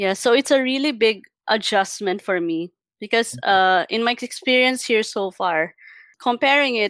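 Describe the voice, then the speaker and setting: A woman with a Filipino accent speaks with ordinary pitch variation in a very clean recording with a silent background, the sound dry and close with no echo. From Philippines. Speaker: UI designer. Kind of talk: casual interview.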